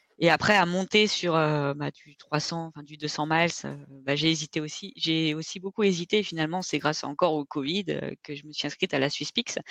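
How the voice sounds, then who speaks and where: A woman with a very deep, low pitch speaks at a moderate pace with fairly even intonation and big swings in loudness. The sound is dry and close with no echo, over a quiet background. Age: 30s. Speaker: ultra-trail runner. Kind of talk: casual interview.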